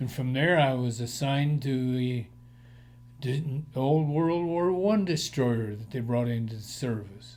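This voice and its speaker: Audible room echo surrounds a man with an American accent who talks at a fairly slow pace with ordinary pitch variation. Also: medium pitch for a man. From Colorado, Denver area. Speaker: war veteran. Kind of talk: oral history interview.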